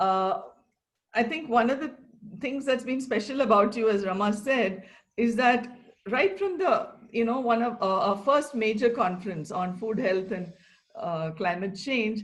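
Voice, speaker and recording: A woman's fairly high-pitched voice at a fairly slow pace, with lively intonation, an ordinary speaking voice. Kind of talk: conversational interview host.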